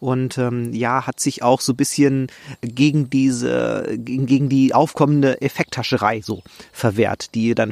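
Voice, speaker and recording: Fairly even intonation and a medium pitch mark a man's normal speaking voice. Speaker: podcast host, nature photographer. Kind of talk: solo podcast monologue. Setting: outdoors in a forest.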